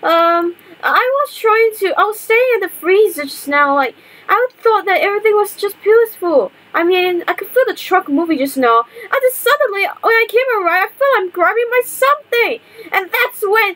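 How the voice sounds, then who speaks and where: A cartoonish character voice at an extremely high pitch comes through at a moderate pace. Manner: agitated, flustered.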